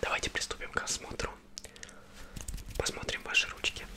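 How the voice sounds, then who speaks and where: A man is whispering. He keeps a moderate pace. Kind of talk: ASMR roleplay. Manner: soft, close-mic ASMR speech. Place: home room. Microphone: studio mic.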